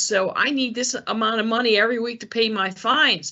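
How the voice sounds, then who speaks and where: A woman's fairly high voice at a fairly quick pace. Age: 60s. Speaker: police detective, elder fraud investigator. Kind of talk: educational presentation. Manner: casual, hesitant with many fillers.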